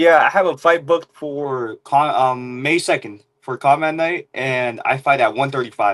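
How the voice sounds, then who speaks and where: With a Mexican accent, a man talks at a moderate pace in a fairly high voice with ordinary pitch variation, hardly pausing at all. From Mexico. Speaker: pro MMA fighter. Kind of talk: interview.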